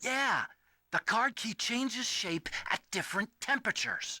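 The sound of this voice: A man does a put-on character voice at an extremely high pitch, bright and sharp in tone. His intonation is lively and his pace fairly slow.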